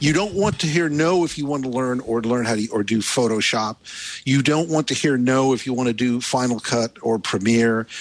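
A man with an unremarkable speaking voice and an American accent talks at a moderate pace and medium pitch, with ordinary pitch variation and very even loudness. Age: 60s. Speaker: tech journalist. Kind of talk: panel discussion. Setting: remote call.

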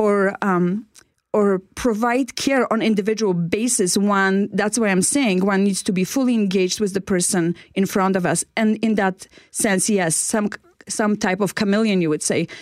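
A woman with a Polish accent talks at medium pitch and a moderate pace with very even loudness, on a very clean recording with a silent background. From Poland. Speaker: inspirational speaker, former care worker. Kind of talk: radio interview. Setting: radio studio.

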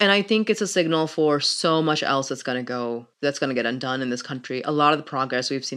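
The delivery is animated in tone and comes at a very fast pace. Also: woman. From Pakistan. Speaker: lawyer and podcaster. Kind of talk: interview.

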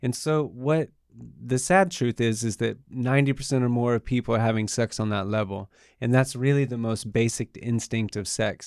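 A normal speaking voice from a man, medium in pitch with ordinary pitch variation, at a moderate pace, dry and close with no echo, on a very clean recording with a silent background. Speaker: tantra teacher. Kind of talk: casual interview chat.

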